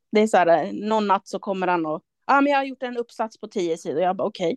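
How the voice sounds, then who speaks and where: Recorded with a dry, close sound with no echo and a quiet background, a woman with an unremarkable speaking voice talks at a fairly quick pace in a medium pitch with lively intonation. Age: 30s. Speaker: artist and gallery owner. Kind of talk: casual chat.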